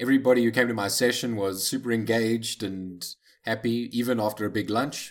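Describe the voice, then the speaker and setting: At a fairly quick pace, a man talks in an ordinary speaking voice at medium pitch. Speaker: podcast co-host.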